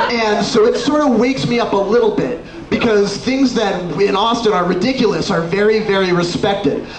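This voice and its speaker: Over noticeable background noise, a man with an American accent and high pitch talks at a moderate pace, with hardly any pauses and very even loudness. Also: ordinary pitch variation. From Texas. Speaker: spoken word artist. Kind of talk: live spoken word performance.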